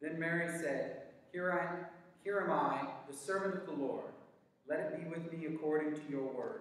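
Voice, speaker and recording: The speech comes at a moderate pace with strong room echo. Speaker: worship leader. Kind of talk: liturgical prayer, spoken in a church service; fervent prayer. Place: church. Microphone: camera far.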